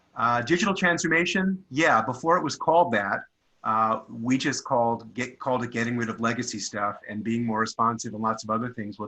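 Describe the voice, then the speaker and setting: Bright and sharp in tone, a man with a New York accent talks at a fairly quick pace in a medium pitch with ordinary pitch variation. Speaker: product management consultant. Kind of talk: panel discussion.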